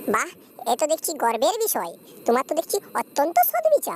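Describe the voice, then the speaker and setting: A woman does a squeaky, cartoonish character voice, high-pitched with very wide pitch swings. She talks at a fairly quick pace, and the sound is dry and close with no echo. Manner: pompous, patronizing.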